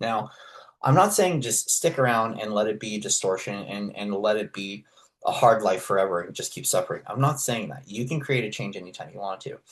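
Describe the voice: Speaking at a fairly quick pace, a man lets his pitch vary in an ordinary way.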